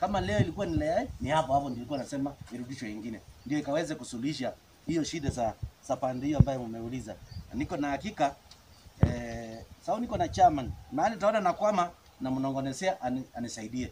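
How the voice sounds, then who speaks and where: Noticeable background noise sits behind a man who talks fairly quickly with lively intonation. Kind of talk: public address answering residents. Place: open country.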